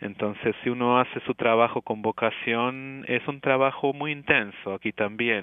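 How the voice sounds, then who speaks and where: Using fairly even intonation, a man speaks at a medium pitch and a fairly slow pace with hardly any pauses. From Argentina, Córdoba. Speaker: family physician and professor. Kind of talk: interview. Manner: halting.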